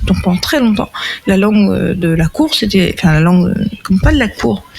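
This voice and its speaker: Lively intonation from a woman, with music in the background. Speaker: podcast panelist. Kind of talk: casual chat. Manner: rambling, hesitant.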